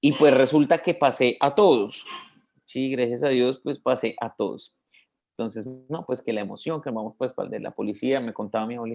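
With ordinary pitch variation and a moderate pace, this man uses an ordinary speaking voice. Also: medium pitch for a man. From Colombia, Bogotá. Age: 20s. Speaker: religious brother. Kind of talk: interview.

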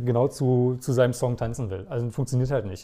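The recording is very clean, with a silent background. A man speaks at a medium pitch with a dark, mellow tone. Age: 30s. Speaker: wedding DJ. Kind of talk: casual interview. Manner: talkative.

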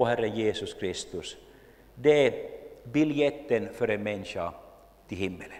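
A man's voice with vocal fry, a fairly slow pace, long, frequent pauses and audible room echo. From Finland, Jakobstad (Swedish-speaking Ostrobothnia). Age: 50s. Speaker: lay preacher and church history speaker. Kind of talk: lecture.

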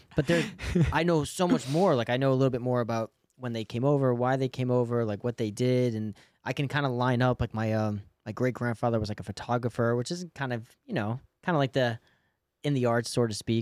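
With an American accent, a man talks fairly quickly in an ordinary speaking voice at a medium pitch with ordinary pitch variation, the sound dry and close with no echo. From outside Boston. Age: 30s. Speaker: podcast host. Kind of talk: casual chat. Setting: studio.

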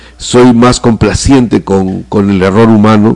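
A man with a plain, everyday voice talks at a fairly slow pace, medium in pitch and with fairly even intonation. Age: 50s. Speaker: theatre director. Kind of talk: interview.

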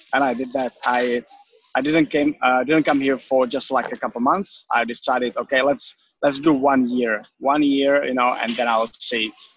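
A man with a Czech accent, fairly even intonation, and a dry, close sound with no echo. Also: medium pitch for a man, moderate pace. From Czech Republic. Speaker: personal trainer. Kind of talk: interview.

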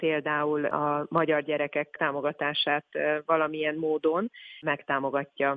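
Monotone, flat intonation at very even loudness. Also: woman. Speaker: communications manager at a charity. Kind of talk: interview.

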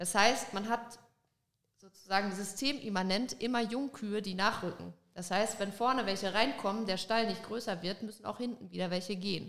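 A normal speaking voice with ordinary pitch variation. It moves at a moderate pace. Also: woman, medium pitch for a woman. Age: 20s. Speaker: dairy farmer. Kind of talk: casual interview chat. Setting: studio, in person.

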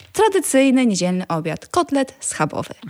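Her voice is high for a woman, with very wide pitch swings and a fairly slow pace. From rural Poland. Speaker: vegan food blogger and cookbook author. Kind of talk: casual interview chat.

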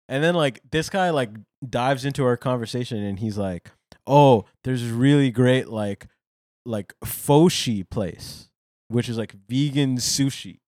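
In a very clean recording with a silent background, a man uses an ordinary speaking voice at medium pitch, talking at a fairly slow pace with ordinary pitch variation and a dry, close sound with no echo. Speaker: podcast co-host. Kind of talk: casual banter comedy chat.

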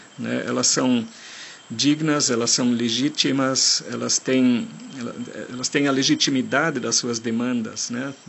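Over noticeable background noise, a man of medium pitch talks at a fairly slow pace. His intonation is monotone and flat. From Germany. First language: German (speaking Portuguese). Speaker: forest engineer and park manager. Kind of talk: recorded interview answers. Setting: outdoors in a national park. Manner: halting.

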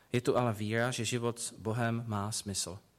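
A man with medium pitch and fairly even intonation speaks at a fairly slow pace in a very clean recording with a silent background. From Prague, Czechia. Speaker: preacher. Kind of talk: sermon.

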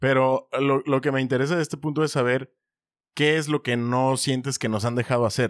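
In a Mexican accent, a man talks at medium pitch and moderate pace with fairly even intonation, in a dry, close sound with no echo. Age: 30s. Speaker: podcast co-host. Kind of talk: casual chat.

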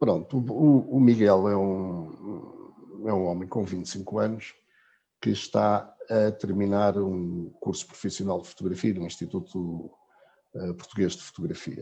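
A man's fairly low-pitched voice, dark and mellow in tone, at a very slow pace. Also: ordinary pitch variation. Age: 50s. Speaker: travel blogger. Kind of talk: casual chat. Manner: halting.

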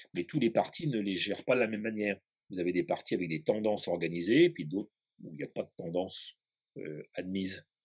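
A man with an ordinary speaking voice talks at a fairly quick pace in a fairly low pitch, his intonation lively and the sound dry and close with no echo. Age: 60s. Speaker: historian. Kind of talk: interview.

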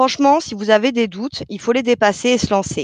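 In an ordinary speaking voice, a woman talks at a moderate pace with fairly high pitch and ordinary pitch variation, the sound dry and close with no echo. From France. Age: 30s. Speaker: call centre worker. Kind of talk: interview.

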